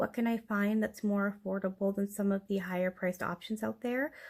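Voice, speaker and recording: A soft-spoken woman at a fairly quick pace, medium-pitched, on a very clean recording with a silent background. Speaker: figure collector YouTuber. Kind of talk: product review. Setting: home, late at night.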